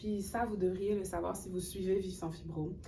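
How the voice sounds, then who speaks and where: A woman's voice comes through at a medium pitch. There is audible room echo. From Haiti. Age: 30s. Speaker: cultural worker and graduate student. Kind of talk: webinar interview.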